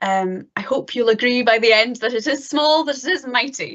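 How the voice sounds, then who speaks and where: A woman speaks in a Scottish accent. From northeast Scotland. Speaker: PhD student, planetary geologist. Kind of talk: lecture. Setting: online live-streamed talk.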